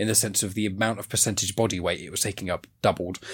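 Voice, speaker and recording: A man with a southern English accent keeps his intonation fairly even on a very clean recording with a silent background. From southern England. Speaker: podcast host. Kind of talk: casual chat. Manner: talkative, rambling.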